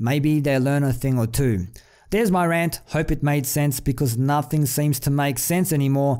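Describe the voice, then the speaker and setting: A man talks at a moderate pace with a fairly high pitch and ordinary pitch variation. His tone is dark and mellow, and his loudness stays very even. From outside the US. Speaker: YouTube commentator. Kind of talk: rant. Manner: animated.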